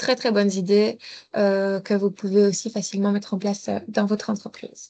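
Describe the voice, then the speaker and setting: In a quiet setting, a woman speaks at a medium pitch in a dark, mellow tone with monotone, flat intonation. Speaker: mobility advisor. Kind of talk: webinar presentation. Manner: fast.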